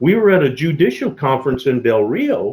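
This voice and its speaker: A man with an American accent talks at a fairly high pitch, somewhat breathy, with lively intonation. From Texas (Mesquite). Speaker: retired federal agent. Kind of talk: storytelling interview. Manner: animated, with many fillers and repetitions.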